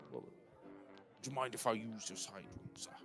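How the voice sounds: A man puts on a gruff character voice at medium pitch and a moderate pace. Background noise is clearly heard.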